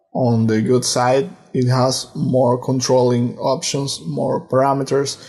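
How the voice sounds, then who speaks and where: A man's somewhat breathy voice with a dark, mellow tone, medium pitch, ordinary pitch variation, very even loudness and a very slow pace. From Argentina. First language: Portuguese and Spanish. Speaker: music production student. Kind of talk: tutorial.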